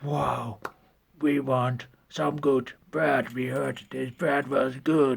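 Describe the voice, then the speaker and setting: A man puts on a raspy character voice at a medium pitch. He speaks at a very slow pace. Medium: solo performance. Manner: blunt, gruff.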